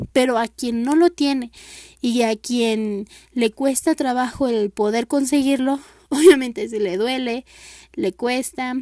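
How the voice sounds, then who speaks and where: The tone is dark and mellow, the sound is dry and close with no echo, and the very slow delivery has ordinary pitch variation. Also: woman, high pitch for a woman. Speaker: university student presenting an assignment. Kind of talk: class presentation monologue. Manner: halting, many fillers.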